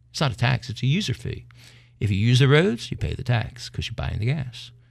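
Recorded very cleanly against a silent background, the speaker has an American accent, vocal fry, lively intonation and a fairly quick pace. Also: man. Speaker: podcast host. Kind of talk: casual chat. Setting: studio.

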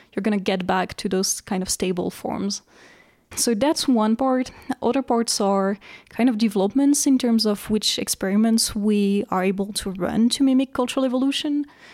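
Woman at a moderate pace with a French accent, fairly high pitch and ordinary pitch variation. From France. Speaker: researcher. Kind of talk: interview.

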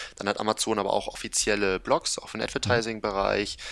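Fairly even intonation accompanies a fairly quick pace of delivery. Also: man. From northern Germany, Kiel. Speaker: e-commerce agency founder. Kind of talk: interview.

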